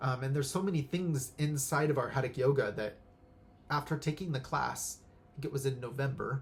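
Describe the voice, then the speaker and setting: This man's voice is somewhat breathy and fairly high in pitch. His delivery has a moderate pace and ordinary pitch variation. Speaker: pranic healing instructor. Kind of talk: casual spiritual talk. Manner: halting, many fillers.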